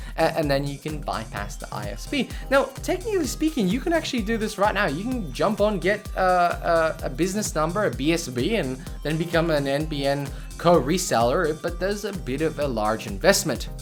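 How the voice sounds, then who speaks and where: This man has an Australian accent and a high pitch, with very wide swings in his pitch. He talks at a fairly quick pace over music in the background. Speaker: tech YouTuber. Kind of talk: casual talk to camera.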